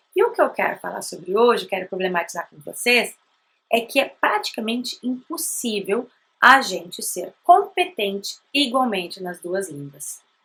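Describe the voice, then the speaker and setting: With a Brazilian accent, a woman speaks in a bright, sharp tone at a fairly high pitch, her pitch swinging very widely and her loudness shifting a lot. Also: moderate pace. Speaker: language teacher, bilingual parenting educator. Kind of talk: educational talk to camera. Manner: conversational.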